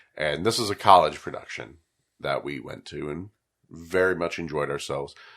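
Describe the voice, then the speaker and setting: Loudness swings widely while the pace stays moderate and the pitch varies in an ordinary way. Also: man, very deep, low pitch for a man. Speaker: podcast host. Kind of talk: casual chat.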